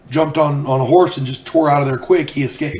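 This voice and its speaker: Over noticeable background noise, a man talks at a fairly quick pace with fairly high pitch and fairly even intonation. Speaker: YouTuber and author telling gaming stories. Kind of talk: casual storytelling.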